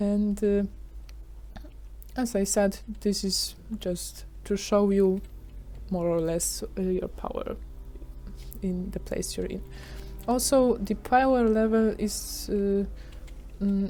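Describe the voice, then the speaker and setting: A woman with a non-native accent speaks at a very slow pace. She leaves long, frequent pauses. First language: not English. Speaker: gaming YouTuber. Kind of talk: tutorial. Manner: halting, many fillers.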